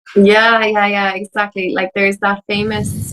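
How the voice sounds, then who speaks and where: A woman speaks with an Irish accent at a moderate pace. The sound is dry and close, with no echo. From Ireland. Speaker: empowerment mentor and coach. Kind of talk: podcast interview.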